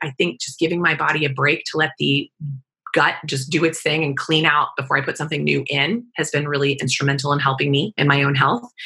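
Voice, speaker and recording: Talking at a very fast pace, a woman with an American accent has a very deep, low pitch, a bright, sharp tone, vocal fry and ordinary pitch variation. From Kansas, US. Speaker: integrative cancer doctor. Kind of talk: interview.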